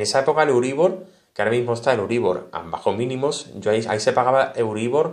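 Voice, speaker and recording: Speaking at a very fast pace, a man uses a Spanish accent. The background is quiet. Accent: Spanish (Spain). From Spain. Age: 30s. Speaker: tech YouTuber. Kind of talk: casual vlog monologue. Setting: home studio. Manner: animated. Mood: earnest, reflective. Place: home room.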